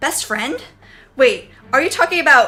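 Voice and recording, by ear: The speaker uses a whiny, put-on character voice. The pace is moderate. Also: woman.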